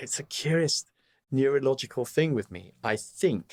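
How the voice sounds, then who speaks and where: In a very clean recording with a silent background, the speaker talks at a fairly slow pace with a southern English accent, the sound dry and close with no echo. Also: man. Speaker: opera tenor. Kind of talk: interview answer. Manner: witty, candid.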